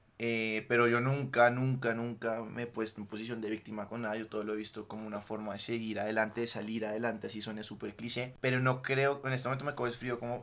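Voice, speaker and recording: A man speaks at a fairly quick pace with hardly any pauses. His intonation is monotone and flat. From Colombia, Bogotá. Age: 20s. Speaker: podcast guest, former footballer. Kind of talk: casual chat.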